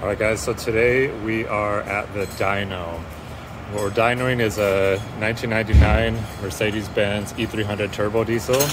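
Music plays in the background as a man speaks at a fairly slow pace and fairly low pitch with fairly even intonation. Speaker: car mechanic video host. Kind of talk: tutorial. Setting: dyno shop, big fans running. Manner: casual, run-on with fillers. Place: garage.

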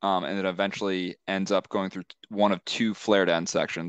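A man with a very deep, low pitch is heard in dry sound with no echo and a quiet background. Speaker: civil engineer presenting to a town board. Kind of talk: technical, professional. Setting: virtual public hearing. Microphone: video call.

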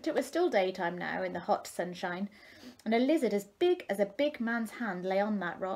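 Lively intonation throughout some plain reading aloud

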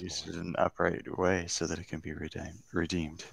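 A man's rumbling, put-on character voice, very deep and low, with flat, monotone intonation at a moderate pace.

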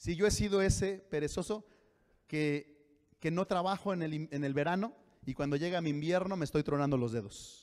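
The background is quiet. A man talks at a moderate pace. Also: ordinary pitch variation. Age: 40s. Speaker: pastor. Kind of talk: sermon. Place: church. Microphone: handheld.

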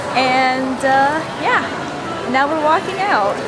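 Clear music runs in the background while a woman speaks with ordinary pitch variation. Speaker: exchange student vlogger. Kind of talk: casual vlog chat. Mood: cheerful, laughing. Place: street. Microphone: phone near.

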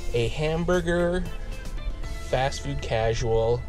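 Over clear background music, a man speaks at a fairly slow pace, the sound dry with no echo. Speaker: food reviewer. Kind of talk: casual vlog chat. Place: car. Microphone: phone near.

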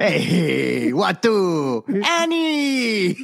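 Doing a put-on character voice with a Romanian accent, a man speaks at a high pitch.

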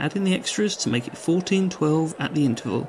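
A man with a fairly high voice speaks with lively intonation, noticeable background noise behind him. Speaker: sports commentator. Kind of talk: sports commentary. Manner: brisk, clipped match-report delivery; even, informative and polished, with a promotional sign-off.

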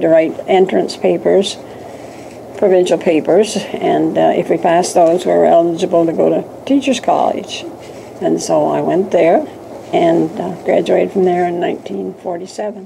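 Noticeable background noise is present. A woman talks over it at a fairly slow pace. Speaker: interviewee. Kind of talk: interview answer. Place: home room.

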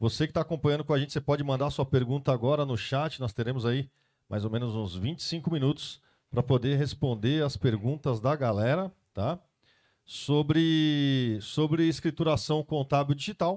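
Against a quiet background, a man speaks at a fairly high pitch. His pace is moderate and his pitch variation ordinary. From Brazil. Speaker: event host and moderator; event host, moderator. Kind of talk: live Q&A moderation. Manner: animated. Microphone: handheld.

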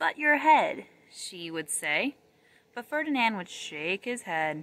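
The voice has a bright, sharp tone and very wide pitch swings, heard in a dry sound with no echo. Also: woman. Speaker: reader of a children's story. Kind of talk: storybook read-aloud. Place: forest. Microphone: phone near.

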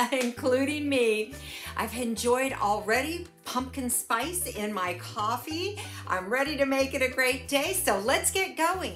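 A woman speaks at a fairly slow pace with a high pitch. Faint music plays in the background. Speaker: cooking vlogger. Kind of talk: casual vlog chat. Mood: cheerful, warm. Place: home room.

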